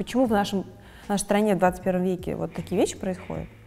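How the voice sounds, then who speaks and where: At a fairly quick pace, a woman speaks in a dark, mellow tone with vocal fry. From Russia. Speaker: fashion designer. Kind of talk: interview.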